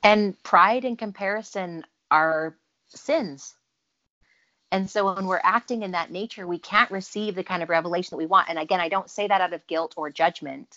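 A woman speaks with a Utah accent at a medium pitch. Her pace is moderate, with ordinary pitch variation. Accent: American (Utah). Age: 30s. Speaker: businesswoman and speaker. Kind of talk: interview testimony.

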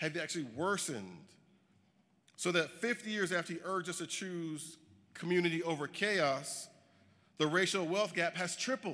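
Moderately paced, a man's high, bright and sharp voice shows ordinary pitch variation and long, frequent pauses. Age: 40s. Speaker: social justice advocate. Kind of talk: keynote speech. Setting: stage with audience.

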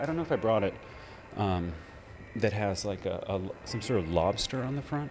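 Fairly low in pitch, a man speaks at a moderate pace with lively intonation and long, frequent pauses. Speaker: radio host. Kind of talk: radio DJ patter between records, themed music show. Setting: radio studio. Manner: casual, rambling; relaxed, informal, with filler words and self-corrections.

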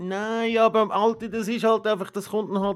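A man is speaking. His pace is moderate. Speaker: podcast co-host. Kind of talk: casual chat. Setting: home.

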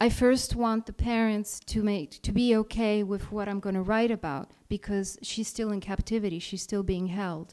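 A woman speaks at a fairly high pitch and a moderate pace, her tone dark and mellow. The recording is very clean, with a silent background. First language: Italian. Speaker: freelance journalist. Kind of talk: live talk to an audience. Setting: stage with audience.

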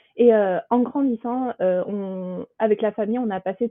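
A woman speaks with fairly even intonation. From southern France, Toulouse. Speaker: accountant. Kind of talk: interview. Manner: hesitant, many fillers.

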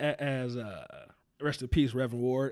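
A man speaks in an ordinary speaking voice with an American accent. His pitch is medium, varying an ordinary amount at a moderate pace. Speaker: podcast host. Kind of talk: casual interview chat.

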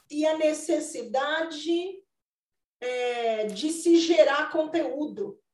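Against audible room echo, a woman with a high pitch speaks very slowly with ordinary pitch variation. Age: 40s. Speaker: retail consultant and mentor. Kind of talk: casual chat.

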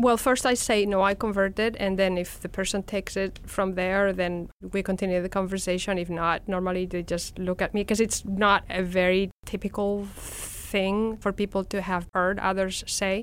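A woman with a Spanish accent speaks at a moderate pace with hardly any pauses. Her pitch is medium and her intonation monotone and flat. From Spain. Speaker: professor. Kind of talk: casual interview.

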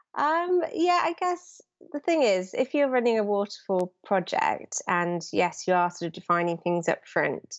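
In a British accent, a woman talks at a fairly slow pace with lively intonation. Her pitch is medium. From London, England. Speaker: digital project manager. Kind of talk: interview.

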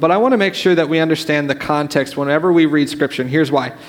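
The pitch varies in an ordinary way, with noticeable background noise present. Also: man. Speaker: youth pastor. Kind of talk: sermon. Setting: church. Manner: fast.

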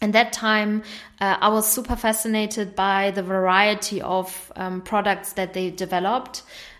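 A woman speaks at a fairly slow pace with a German accent. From northern Germany. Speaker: entrepreneur. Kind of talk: interview.

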